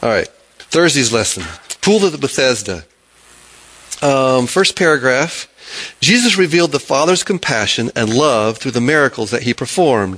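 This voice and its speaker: Long, frequent pauses break up a man's moderate pace, which carries lively intonation. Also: medium pitch for a man. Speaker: Bible study teacher. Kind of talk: Bible study discussion. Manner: halting.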